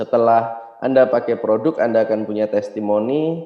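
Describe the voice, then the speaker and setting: With an unremarkable speaking voice, a man talks at a moderate pace in a fairly low pitch with ordinary pitch variation. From Indonesia, Yogyakarta (Java). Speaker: network marketing business trainer. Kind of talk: motivational seminar talk.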